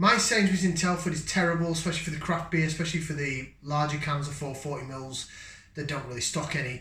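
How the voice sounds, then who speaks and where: Very fast and fairly even in intonation, a man talks with a northern English accent. His pitch is fairly high, and room echo is audible. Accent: northern English, getting stronger. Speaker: beer reviewer. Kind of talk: casual product review. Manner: casual, hesitant with fillers.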